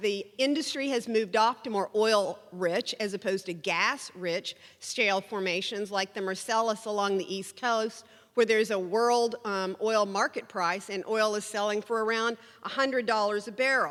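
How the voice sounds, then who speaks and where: Speaking with an Oklahoma accent, a woman has a fairly high pitch. Her pitch variation is ordinary. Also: moderate pace. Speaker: energy policy speaker, former oil and gas regulator. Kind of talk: conference presentation.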